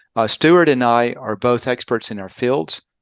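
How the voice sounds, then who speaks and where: A man with a Southern US accent, medium in pitch with ordinary pitch variation, at a fairly slow pace, in a dry, close sound with no echo and a quiet background. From US South, Birmingham, Alabama. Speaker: podcast host, marketing consultant. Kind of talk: casual chat.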